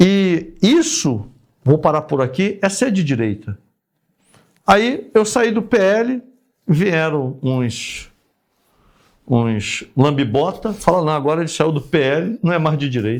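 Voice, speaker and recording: A man with a fairly high pitch speaks at a very slow pace, with long, frequent pauses and very wide pitch swings. The recording is very clean and the background silent. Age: 60s. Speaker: politician, retired army colonel. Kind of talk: interview. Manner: animated.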